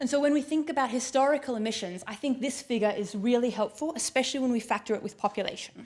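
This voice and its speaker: A woman's high voice with an Australian accent, a very fast pace and ordinary pitch variation. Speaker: keynote speaker on climate finance. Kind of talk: conference keynote talk.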